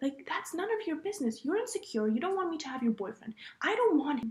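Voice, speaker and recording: A woman speaks loud at a fairly quick pace. Her pitch is extremely high and swings very widely. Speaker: podcast host. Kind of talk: casual chat. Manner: animated.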